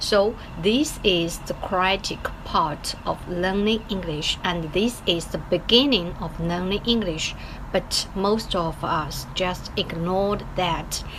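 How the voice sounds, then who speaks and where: A woman with a Chinese accent at a very slow pace, against noticeable background noise. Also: medium pitch for a woman, ordinary pitch variation. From China. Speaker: English learner vlogger. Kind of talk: casual video diary. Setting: office. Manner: halting, many fillers.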